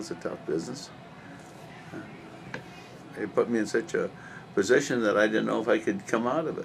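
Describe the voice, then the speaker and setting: A man speaks at a fairly quick pace. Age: 60s. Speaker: political candidate. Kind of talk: interview. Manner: halting.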